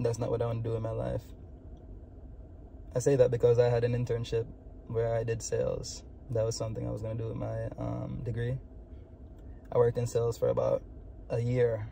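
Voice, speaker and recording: A man speaks fairly quickly with a Jamaican accent. He leaves long, frequent pauses. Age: 20s. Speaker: vlogger. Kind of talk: personal vlog monologue. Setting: in a car. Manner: casual, filler-heavy.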